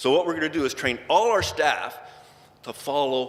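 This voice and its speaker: A man with a Canadian accent, with audible room echo. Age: 60s. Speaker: injured worker advocate. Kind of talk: conference talk. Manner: casual, conversational.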